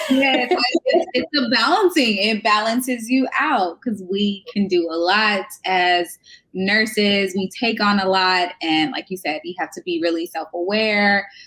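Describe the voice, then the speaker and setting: A woman speaks at a fairly slow pace in a medium pitch. Her tone is bright and sharp, with lively intonation. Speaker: nurse and wellness coach podcast host. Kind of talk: casual interview chat. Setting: live video stream.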